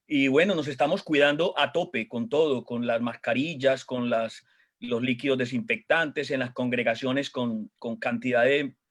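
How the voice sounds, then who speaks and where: Speaking at a moderate pace with a strong Colombian accent, this man has a medium pitch and ordinary pitch variation. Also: very clean recording, silent background. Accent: Colombian accent, still strong. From Colombia, Medellín. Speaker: pastor. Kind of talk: casual chat on a church panel program.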